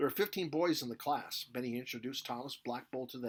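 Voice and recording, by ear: Someone reads a passage aloud. The delivery sounds natural.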